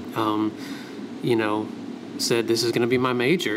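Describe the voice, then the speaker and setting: In an American accent, a man at medium pitch talks at a fairly quick pace with fairly even intonation, with audible room echo and noticeable background noise. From US South. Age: 30s. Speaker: graphic designer. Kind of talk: casual interview. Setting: studio.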